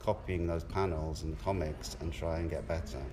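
A man speaks with a very deep, low pitch and ordinary pitch variation. Room echo is audible. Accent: southern English. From southern England, Portsmouth. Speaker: artist. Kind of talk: casual interview.

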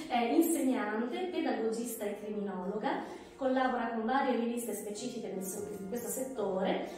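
Against faint background music and strong room echo, a woman speaks at a moderate pace with hardly any pauses. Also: ordinary pitch variation. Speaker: event host. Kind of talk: event introduction. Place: office. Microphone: camera far.

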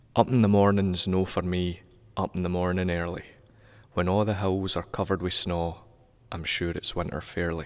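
The delivery is monotone and flat, at a moderate pace. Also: man. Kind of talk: poetry reading.

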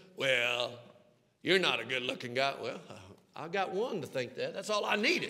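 A man with a Southern US accent speaks at a high pitch with very wide pitch swings. He leaves long, frequent pauses over a quiet background. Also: moderate pace. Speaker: pastor. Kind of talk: sermon. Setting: church sanctuary with congregation. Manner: animated. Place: church. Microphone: headset.

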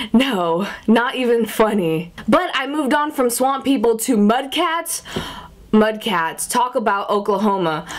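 An animated woman with an American accent talks in a fairly high pitch with lively intonation. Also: fairly slow pace. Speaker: vlogger. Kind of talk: casual vlog monologue. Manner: animated, chatty. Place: home room. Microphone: phone near.

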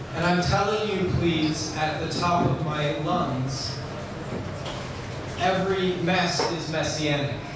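Very slow speech with audible room echo and loud background noise. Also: man. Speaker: rabbi. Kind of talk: spoken word poetry performance. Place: cafe.

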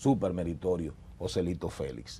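A man speaks in a dark, mellow tone. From Dominican Republic, San Juan province (Las Matas de Farfán); Dominican Republic. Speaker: politician, party secretary general; politician. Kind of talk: interview, political discussion. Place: studio. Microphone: lapel.

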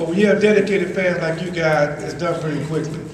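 Very fast speech with fairly even intonation comes through noticeable background noise and audible room echo. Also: man. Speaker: former pro football player. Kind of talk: rally speech to a crowd. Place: hall. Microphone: camera far.

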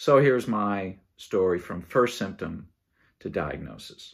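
Vocal fry runs through a man's speech against a quiet background. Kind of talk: casual vlog chat. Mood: calm, reflective. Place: home room. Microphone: phone near.

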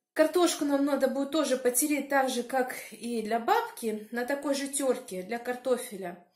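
A woman with a high pitch talks at a moderate pace with ordinary pitch variation, audible room echo and a quiet background. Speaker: village life vlogger. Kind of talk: casual vlog chat. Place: kitchen. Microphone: phone near.

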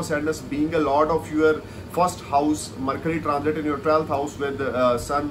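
Over noticeable background noise, a man with a fairly high pitch speaks at a moderate pace in a flat, monotone intonation. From India. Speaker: astrologer. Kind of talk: video monologue of astrological forecasts. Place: home room. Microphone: earbuds.

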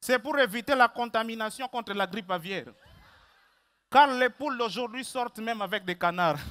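A man speaks at a moderate pace in an extremely high, bright, sharp voice with an animated, theatrical tone. He leaves long, frequent pauses. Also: ordinary pitch variation. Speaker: stand-up comedian. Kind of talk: stand-up comedy, comic monologue with a read-out mock farewell letter from a rooster. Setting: stage with audience. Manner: animated, theatrical, playing the rooster with comic voices. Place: stage.

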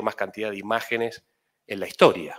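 A man speaks at a medium pitch in a bright, sharp tone. His pace is fairly quick against a quiet background. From Tucumán, Argentina. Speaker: journalist. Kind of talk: acceptance speech. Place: hall. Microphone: podium.

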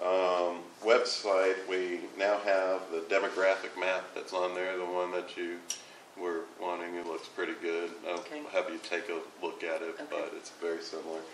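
A man's very deep, low voice with fairly even intonation, over noticeable background noise. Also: moderate pace. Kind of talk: meeting report. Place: meeting room. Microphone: camera far.

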